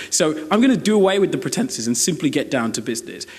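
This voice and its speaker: In a British accent, a man speaks with lively intonation. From Britain. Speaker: university debater. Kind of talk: competitive debate speech. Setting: stage with audience.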